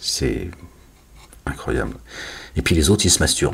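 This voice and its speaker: A man speaks at a moderate pace. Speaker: religious commentator. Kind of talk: casual religious monologue video. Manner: loud; animated.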